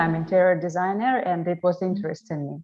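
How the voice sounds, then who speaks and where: A woman speaks with a Russian accent at a moderate pace. Her pitch sits fairly low. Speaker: travel vlogger and interior designer. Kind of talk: online panel interview. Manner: halting.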